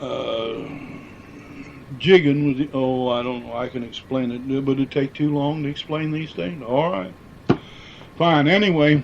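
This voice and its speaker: A man with a Midwestern American accent talks at a fairly slow pace, taking long, frequent pauses. His pitch is fairly high with ordinary variation, and there is noticeable background noise. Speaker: former miner. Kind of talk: oral history interview answer.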